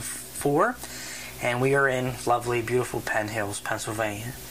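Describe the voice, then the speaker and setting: Amid noticeable background noise, a man of medium pitch speaks at a moderate pace with fairly even intonation. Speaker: oral history interviewer. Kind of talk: interview questions.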